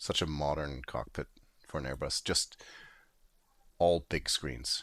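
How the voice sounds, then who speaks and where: The pace is very slow. Vocal fry runs through the voice. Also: man. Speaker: video game streamer. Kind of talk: live gameplay commentary. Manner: casual, halting with fillers.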